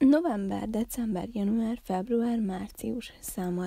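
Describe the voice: Plain reading aloud is heard. Pitch variation is ordinary.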